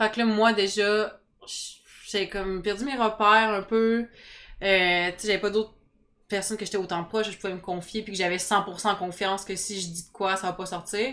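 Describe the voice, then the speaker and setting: On a very clean recording with a silent background, a woman speaks at medium pitch in a bright, sharp tone with monotone, flat intonation. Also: big swings in loudness. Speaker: reality TV contestant. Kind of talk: interview. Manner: fast.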